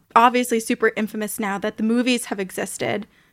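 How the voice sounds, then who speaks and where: A plain, everyday voice: a woman of fairly high pitch with fairly even intonation and a fairly quick pace, dry and close with no echo, on a very clean recording with a silent background. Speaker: paranormal podcast host. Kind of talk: casual chat.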